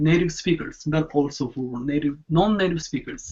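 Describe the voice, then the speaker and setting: A man with a Japanese accent speaks at a fairly high pitch with ordinary pitch variation. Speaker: online show host. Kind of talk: casual video chat.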